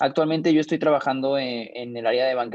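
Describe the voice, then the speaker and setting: Intonation stays fairly even as a man talks fairly quickly. He uses a medium pitch. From Mexico. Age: 20s. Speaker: young investor and finance mentor. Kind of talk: interview. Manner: halting, many fillers.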